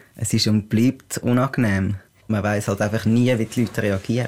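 A man's voice comes through on a very clean recording over a silent background. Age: 20s. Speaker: non-binary person sharing experience. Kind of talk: interview.

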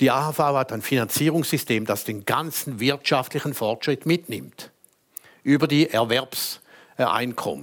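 Vocal fry runs through very slow speech with ordinary pitch variation. The recording is very clean, with a silent background. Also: man, medium pitch for a man. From Switzerland, St. Gallen. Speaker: lawyer and former politician. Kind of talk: panel debate. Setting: stage with audience.

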